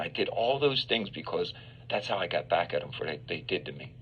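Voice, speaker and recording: A man at a very fast pace against noticeable background noise. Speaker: exonerated former death row prisoner. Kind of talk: interview.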